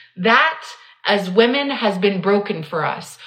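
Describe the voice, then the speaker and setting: A woman with a fairly high pitch and lively intonation speaks at a fairly slow pace, with noticeable background noise and audible room echo. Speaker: business coach podcast host. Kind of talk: solo podcast monologue. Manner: unstructured riffing.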